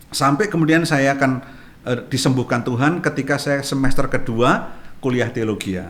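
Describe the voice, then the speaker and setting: A man speaks in a normal speaking voice at a moderate pace, his fairly high pitch showing ordinary variation. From Central Java, Indonesia (Jepara). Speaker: pastor. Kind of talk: testimony.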